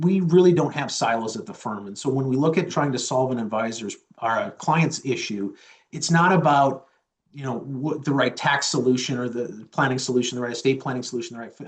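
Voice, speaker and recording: Somewhat breathy and at medium pitch, a man goes at a fairly quick pace with ordinary pitch variation and big swings in loudness. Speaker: chief investment officer. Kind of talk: interview answers.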